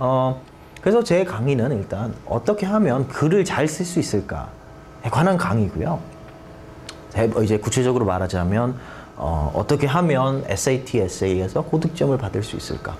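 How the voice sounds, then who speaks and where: Very wide pitch swings mark this moderately paced speech, heard with noticeable background noise and audible room echo. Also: man. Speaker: teacher. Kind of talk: lecture. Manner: halting, many fillers.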